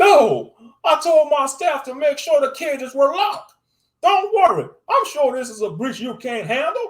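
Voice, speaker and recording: Putting on a character voice, a man talks at an extremely high pitch and moderate pace. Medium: read story. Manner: jumpy, flustered.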